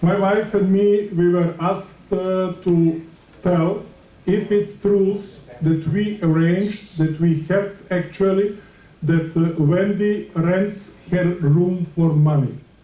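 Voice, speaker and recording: A man's very slow speech with a non-native accent, high pitch, fairly even intonation and very even loudness, plus audible room echo. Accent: foreign, limited English. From Switzerland. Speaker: community resident speaking at board meeting. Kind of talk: public comment at meeting. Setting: board meeting. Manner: halting, hesitant.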